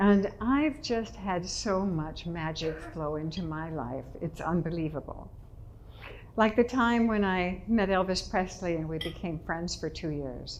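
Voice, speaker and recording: In an American accent, a woman speaks at a fairly slow pace with a fairly low pitch and ordinary pitch variation, with audible room echo. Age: 80s+. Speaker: public speaker. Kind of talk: inspirational talk. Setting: stage with audience.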